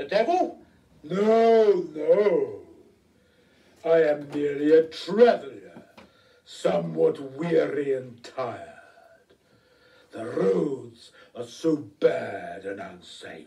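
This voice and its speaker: A man speaks very slowly in a put-on character voice with a fairly high pitch, leaving long, frequent pauses. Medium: stage play. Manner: polite, suave.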